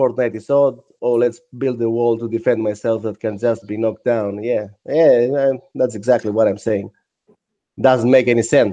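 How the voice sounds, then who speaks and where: Dark and mellow in tone, a man speaks at a medium pitch and moderate pace. His intonation stays flat and monotone. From Greece. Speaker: 3D sculptor. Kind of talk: casual chat.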